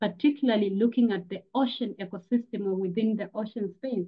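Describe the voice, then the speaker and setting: Speaking very fast, a woman with a fairly high, somewhat breathy voice keeps her intonation fairly even. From Tanzania. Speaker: climate educator and activist. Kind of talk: presentation. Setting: video call.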